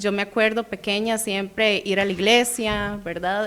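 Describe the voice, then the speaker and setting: The woman's fairly high-pitched voice unfolds at a fairly slow pace. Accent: Costa Rican. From Costa Rica, San José. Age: 20s. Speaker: guest giving testimony. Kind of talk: testimony. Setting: radio studio.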